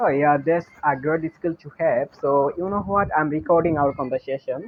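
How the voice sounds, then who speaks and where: Amid noticeable background noise, a man with a Bengali accent speaks at a moderate pace, his fairly high voice showing ordinary pitch variation. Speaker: English learner. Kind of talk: casual chat.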